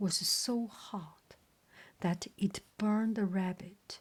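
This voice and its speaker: A woman's medium-pitched voice with fairly even intonation, a very slow pace and a non-native accent. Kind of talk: bedtime story reading. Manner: soft-spoken, slow.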